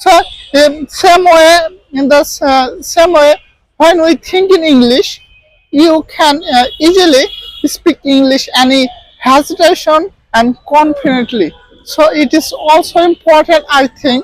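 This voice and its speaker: In a Bengali accent, a man with an extremely high pitch and ordinary pitch variation speaks at a fairly slow pace, the sound dry and close with no echo. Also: very even loudness. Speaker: English teacher. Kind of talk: tutorial. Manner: halting, many fillers.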